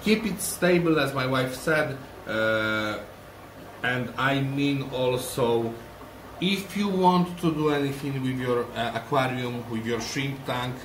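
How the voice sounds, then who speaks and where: A man with a Polish accent at a very slow pace, medium pitch and ordinary pitch variation, amid noticeable background noise and audible room echo. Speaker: aquarium shrimp breeder, channel owner. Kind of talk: tutorial. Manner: halting.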